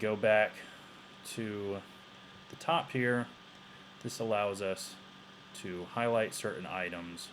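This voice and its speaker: A man's fairly low voice, very slow, with ordinary pitch variation and long, frequent pauses. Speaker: teacher. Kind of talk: tutorial. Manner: halting.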